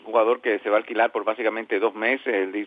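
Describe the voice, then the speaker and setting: The pace is moderate. It is a normal speaking voice. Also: man. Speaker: baseball podcast host and interviewer. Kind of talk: sports talk and interviews.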